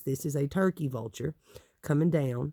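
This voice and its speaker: Here a man with a Southern Appalachian accent has a dark, mellow tone and a fairly high pitch. He talks at a moderate pace with ordinary pitch variation, in a dry, close sound with no echo. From Appalachia, East Tennessee. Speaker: tarot deck reviewer. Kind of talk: casual talk to camera.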